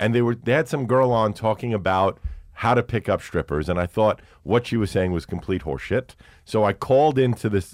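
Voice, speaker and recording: A man with a New York accent, fairly low pitch, lively intonation and a fairly quick pace, in a dry, close recording with no echo and a very clean, silent background. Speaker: radio host and podcaster. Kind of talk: casual chat. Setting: studio.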